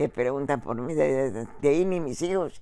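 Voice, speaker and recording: In a very clean recording with a silent background, the voice is dark and mellow, moving at a fairly slow pace with ordinary pitch variation. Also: woman. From El Salvador. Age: 90s. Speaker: retired factory worker. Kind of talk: interview. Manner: halting.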